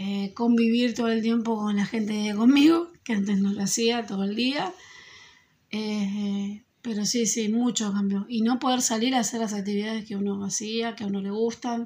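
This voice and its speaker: Speaking with an Argentine accent, a woman has a fairly high pitch and a dark, mellow tone that is somewhat breathy. Her pace is moderate and her intonation fairly even. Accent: Argentine Spanish (Rioplatense). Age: 40s. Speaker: school secretary. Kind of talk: interview answers.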